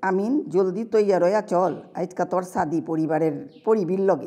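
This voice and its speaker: Ordinary pitch variation in a woman's dark, mellow tone. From Old Dhaka, Bangladesh. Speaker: writer. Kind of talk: reading own story.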